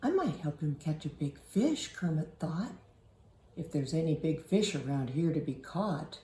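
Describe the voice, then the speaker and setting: At a moderate pace, a woman does a put-on character voice that is gruff and rumbling, with a very deep, low pitch. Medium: read story. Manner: gruff, grumbling.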